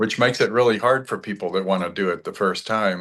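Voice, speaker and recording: Against a quiet background, a man talks. His intonation is monotone and flat. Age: 70s. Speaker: business finance advisor. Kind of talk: interview. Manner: halting.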